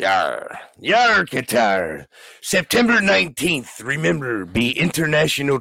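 Putting on a character voice, a man speaks fairly slowly in a raspy, fairly high pitch that swings very widely. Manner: playful, jokey.

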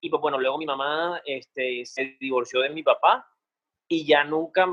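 A man talks in a plain, everyday voice. His pitch is fairly high. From Cartagena, Colombia. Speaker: singer. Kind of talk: casual interview.

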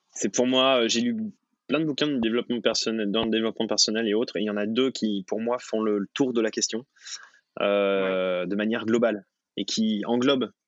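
Here a man talks at a moderate pace. His medium-pitched voice has fairly even intonation. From France, Haute-Savoie (Thonon). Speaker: professional freediver. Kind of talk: interview. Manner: hesitant, repeats words.

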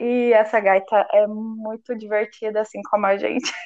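Ordinary pitch variation in a Minas Gerais accent. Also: woman. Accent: mineiro. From Minas Gerais, Brazil (Uberlândia). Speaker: podcast co-host. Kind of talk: casual chat.

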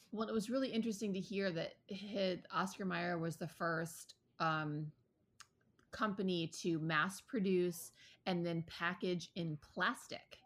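In a very clean recording with a silent background, a normal speaking voice with an American accent moves at a fairly slow pace with ordinary pitch variation. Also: woman, medium pitch for a woman. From Ann Arbor, Michigan. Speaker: podcast co-host, former chef. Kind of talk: casual chat.

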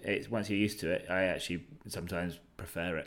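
This voice has a bright, sharp tone and fairly even intonation, in a British accent. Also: man. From Britain. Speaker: experienced sailor and cook. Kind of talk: interview. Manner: hesitant, many fillers.

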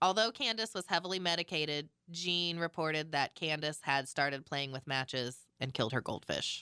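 A woman speaks at a fairly quick pace in a very deep, low pitch with a bright, sharp tone and ordinary pitch variation. The recording is very clean, with a silent background. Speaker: podcast host. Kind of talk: casual chat, retelling a true crime case.

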